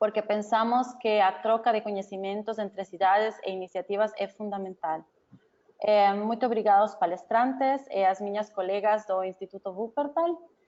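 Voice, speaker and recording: With a non-native accent, a woman speaks at a moderate pace and shows ordinary pitch variation. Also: fairly high pitch for a woman. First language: not Portuguese (speaking Portuguese). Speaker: researcher and webinar organizer. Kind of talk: webinar closing remarks. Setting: online webinar. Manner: halting.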